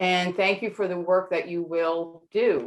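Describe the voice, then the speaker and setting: A woman speaks at a medium pitch and a fairly slow pace, her intonation fairly even, with music playing in the background. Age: 60s. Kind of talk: prepared statement at forum. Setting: video call.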